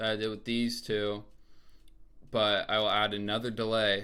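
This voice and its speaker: Bright and sharp in tone, a man's fairly low voice moves at a moderate pace with monotone, flat intonation. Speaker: music producer and rapper. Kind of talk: tutorial. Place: home room.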